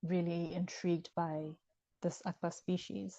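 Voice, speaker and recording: A woman with a Ghanaian accent talks at a fairly low pitch in a flat monotone, recorded dry and close with no echo. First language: Ewe. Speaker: author. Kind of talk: interview conversation. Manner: hesitant with many fillers.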